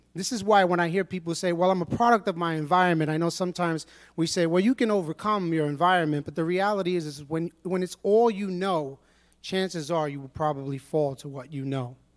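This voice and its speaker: In a New York accent, a man speaks very fast at a high pitch with ordinary pitch variation, on a very clean recording with a silent background. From New York City, Brooklyn. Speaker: church member giving testimony. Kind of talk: testimony.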